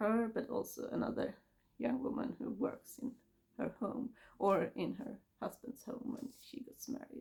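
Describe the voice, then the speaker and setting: A woman talks at a moderate pace with a high pitch and ordinary pitch variation. Her tone is dark and mellow. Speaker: book vlogger. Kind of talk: casual book review monologue. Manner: halting.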